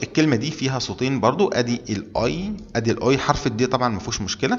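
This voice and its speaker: The speaker talks with an Egyptian accent and lively intonation. Music plays in the background. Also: man. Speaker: German language teacher. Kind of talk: tutorial. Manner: repetitive, deliberate.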